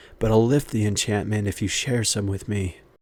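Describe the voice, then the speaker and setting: Using a put-on character voice, a man talks at a fairly quick pace with a fairly low pitch. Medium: read story. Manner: smug, sly.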